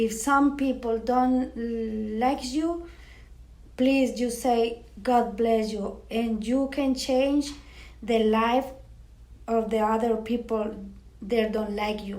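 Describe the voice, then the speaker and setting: Heard with audible room echo, a woman with a Spanish accent speaks very slowly at a fairly high pitch, with fairly even intonation and long, frequent pauses. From Mexico, Matamoros. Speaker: parish coworker and interviewee. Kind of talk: interview. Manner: halting.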